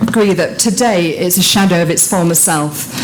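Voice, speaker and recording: Amid noticeable background noise and audible room echo, a woman speaks at a moderate pace and medium pitch with ordinary pitch variation. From Yorkshire, northern England. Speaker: politician. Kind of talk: conference speech.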